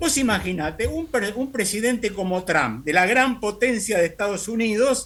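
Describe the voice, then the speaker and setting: A man's high-pitched voice, with lively intonation at a fairly slow pace. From Argentina. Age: 70s. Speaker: radio guest commentator. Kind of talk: radio interview conversation.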